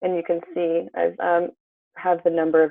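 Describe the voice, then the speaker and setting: A woman speaks at a moderate pace and a fairly low pitch. She has an unremarkable speaking voice. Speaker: health coach. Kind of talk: webinar presentation.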